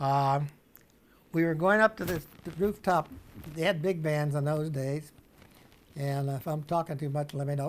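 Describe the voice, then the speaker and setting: A man with a Midwestern American accent at a moderate pace. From Springfield, Illinois. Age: 80s+. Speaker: World War II veteran. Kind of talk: interview answer.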